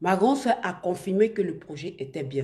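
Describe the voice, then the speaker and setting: At a moderate pace, a woman with a medium pitch and a dark, mellow, somewhat breathy tone makes very wide pitch swings. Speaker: online influencer / live streamer. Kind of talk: live stream talk to viewers. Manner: halting, many restarts.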